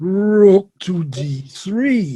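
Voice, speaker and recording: This is a put-on character voice. Its pitch sits in the middle. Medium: stage play. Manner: terse, flat.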